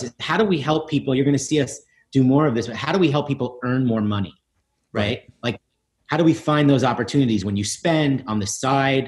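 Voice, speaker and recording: Against a quiet background, a man talks at a fairly quick pace, somewhat breathy and fairly high-pitched, with lively intonation. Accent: American. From New York City (East Village); New York City. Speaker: tech company founder and CEO; guest. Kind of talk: interview; interview answer. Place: home room. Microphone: video call.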